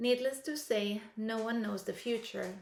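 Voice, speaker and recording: A woman speaks with a non-native accent. Her pace is fairly slow and her intonation fairly even. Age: 50s. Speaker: aspiring airline pilot, vlogger. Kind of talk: scripted talk to camera. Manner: hesitant with fillers.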